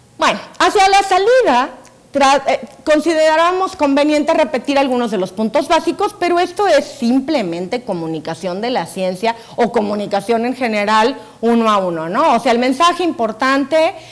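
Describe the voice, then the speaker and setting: A woman with high pitch and very wide pitch swings, at a moderate pace, over noticeable background noise. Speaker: science communicator and TV scriptwriter. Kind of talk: conference talk.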